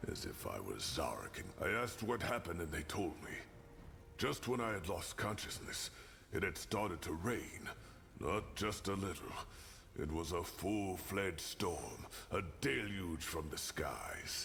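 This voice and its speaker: A man does a put-on character voice at a fairly low pitch and moderate pace, with clear background noise. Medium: video game. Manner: frank, earthy, occasionally swearing.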